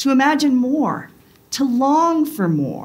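Lively intonation from a woman. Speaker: pastor. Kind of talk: sermon. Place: church.

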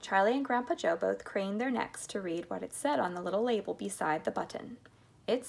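With lively intonation, someone is reading aloud in a natural voice.

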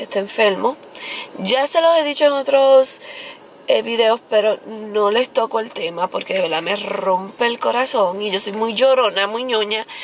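At a fairly slow pace, a woman speaks with ordinary pitch variation. The sound is dry with no echo, over light background noise. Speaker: vlogger. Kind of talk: casual vlog chat. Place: car. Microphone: phone near.

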